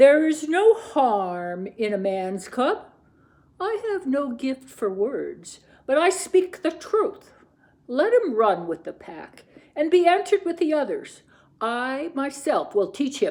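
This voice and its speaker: A put-on character voice sits at a high pitch with very wide pitch swings. The pace is fairly slow. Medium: read story. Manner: gruff, plain-spoken.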